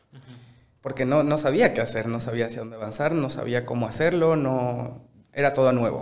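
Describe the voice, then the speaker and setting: With a plain, everyday voice, a man speaks at a fairly quick pace in a medium pitch with fairly even intonation. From Bolivia, Sucre. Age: 20s. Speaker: chef. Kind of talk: casual interview.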